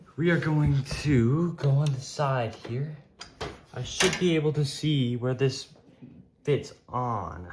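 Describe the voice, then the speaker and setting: A man speaks at a very slow pace in a fairly high voice with ordinary pitch variation. Noticeable background noise runs beneath him. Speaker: tech YouTuber. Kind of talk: tutorial. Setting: at home. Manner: loud; casual with fillers.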